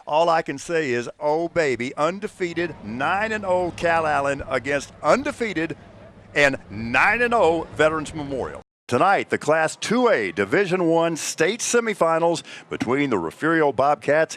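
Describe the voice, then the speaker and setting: A man's moderately paced talk in an unremarkable speaking voice, fairly high-pitched, with lively intonation. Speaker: sports announcer, play-by-play. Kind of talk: sports broadcast opening, high school football.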